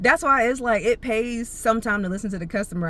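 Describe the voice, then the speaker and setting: A woman with an animated tone and ordinary pitch variation. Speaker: vlogger. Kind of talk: casual storytelling monologue. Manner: fast.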